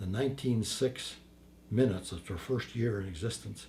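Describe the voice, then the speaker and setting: This man has a fairly low, somewhat breathy voice with a dark, mellow tone. He talks at a fairly slow pace with ordinary pitch variation. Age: 80s+. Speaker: war veteran. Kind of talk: interview answer.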